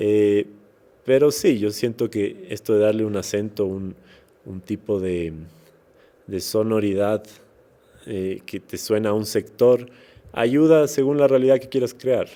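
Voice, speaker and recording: A man with a fairly low voice and a dark, mellow tone speaks at a fairly slow pace with long, frequent pauses, ordinary pitch variation and big swings in loudness. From Ecuador, Quito (highlands). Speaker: musician and actor. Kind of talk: interview conversation. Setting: podcast recording. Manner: hesitant, many repeated words and fillers.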